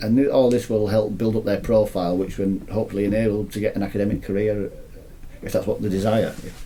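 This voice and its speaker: A man with a Leeds accent talks very fast in a fairly low, monotone voice with flat intonation. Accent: Leeds Yorkshire. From northern England, Leeds, Yorkshire. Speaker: university lecturer. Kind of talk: interview. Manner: halting.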